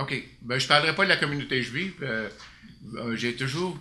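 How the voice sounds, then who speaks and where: Speaking with a Quebec accent, a man keeps a medium pitch, ordinary pitch variation and a moderate pace, with audible room echo in the recording. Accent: Québécois French. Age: 60s. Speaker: city councillor. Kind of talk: council meeting report. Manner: hesitant, many fillers.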